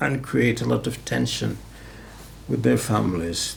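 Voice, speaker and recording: A man is speaking. Audible room echo follows his words. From Jamaica. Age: 80s+. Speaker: former bus worker and housing worker. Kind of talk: documentary interview.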